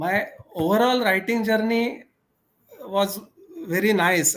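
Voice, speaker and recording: A man's voice with a Marathi accent. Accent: Indian English, Marathi. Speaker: author. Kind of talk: interview.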